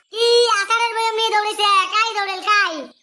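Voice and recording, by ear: Delivered at a fast pace, the cartoonish character voice has a bright, sharp tone and little pitch movement. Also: man, extremely high pitch for a man.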